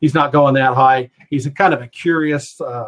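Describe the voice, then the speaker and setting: At a moderate pace, a man speaks in a fairly high pitch with ordinary pitch variation. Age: 60s. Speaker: fantasy football analyst. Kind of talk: webinar presentation. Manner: halting, many fillers.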